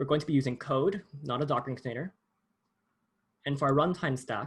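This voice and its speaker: At a fairly quick pace, a somewhat breathy voice comes through on a very clean recording with a silent background. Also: man, fairly high pitch for a man, ordinary pitch variation. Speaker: workshop instructor. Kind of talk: tutorial. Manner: fast.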